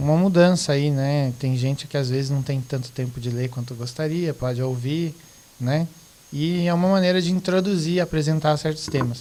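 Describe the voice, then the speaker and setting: With a Rio Grande do Sul accent, a man speaks at a moderate pace and fairly high pitch with fairly even intonation over noticeable background noise. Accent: southern Brazilian (gaúcho), clear. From Rio Grande do Sul, southern Brazil. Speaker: teacher, guest. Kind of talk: casual podcast discussion.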